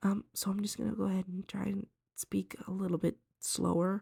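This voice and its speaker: A woman's voice, dry and close with no echo. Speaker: art tutorial creator. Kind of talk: drawing tutorial commentary. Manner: hesitant, many ums.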